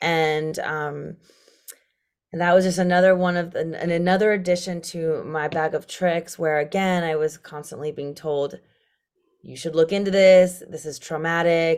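With an American accent, a woman talks at a moderate pace in a fairly low pitch and a monotone, flat intonation. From international upbringing (Brazil, Japan, Luxembourg, US). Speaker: cancer survivor. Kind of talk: interview.

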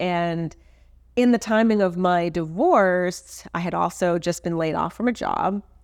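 A woman's ordinary speaking voice, fairly low in pitch, at a fairly slow pace with ordinary pitch variation, on a very clean recording with a silent background. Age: 40s. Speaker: portrait and branding photographer. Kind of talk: interview.

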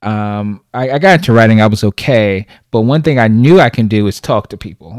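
A man with an unremarkable speaking voice at medium pitch talks at a fairly quick pace, in a dry, close sound with no echo on a very clean recording with a silent background. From Brooklyn, New York. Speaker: podcaster. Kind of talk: casual interview chat.

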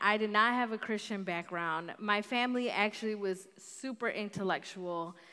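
Speaking with an American accent at a moderate pace, a woman has an ordinary speaking voice at medium pitch with ordinary pitch variation, captured on a very clean recording with a silent background. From north suburbs of Chicago. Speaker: guest preacher. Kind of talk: sermon.

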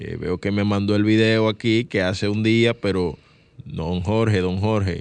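In a normal speaking voice, a man talks at a fairly slow pace and fairly low pitch, with fairly even intonation. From Dominican Republic, San Cristóbal. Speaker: radio host, journalist. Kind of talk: radio show hosting. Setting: radio studio.

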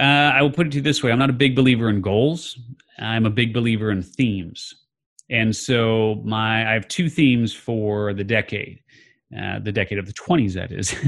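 A man speaks at a moderate pace in a medium pitch with ordinary pitch variation and a normal speaking voice. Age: 50s. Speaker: author and podcast host. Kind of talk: interview.

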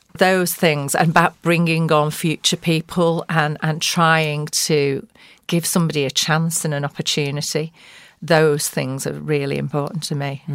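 A woman with a very deep, low pitch talks at a fairly slow pace in a monotone, flat intonation. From grew up near Oldham, Greater Manchester. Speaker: podcast guest, commercial litigator and law firm partner. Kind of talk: informal interview talk. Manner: warm, conversational, chatty.

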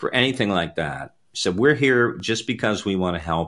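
With an unremarkable speaking voice, a man talks at a moderate pace, his fairly low pitch carrying lively intonation. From Canada. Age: 50s. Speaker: apostle and ministry network leader. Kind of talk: interview about faith and ministry. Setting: live online video show.

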